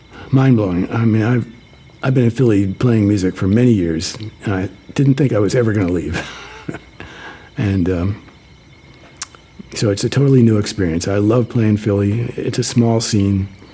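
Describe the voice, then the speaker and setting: A man's fairly low voice with ordinary pitch variation, a moderate pace, long and frequent pauses, and noticeable background noise. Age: 60s. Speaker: electronic musician. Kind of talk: interview. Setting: radio studio. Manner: halting, with fillers and repetitions.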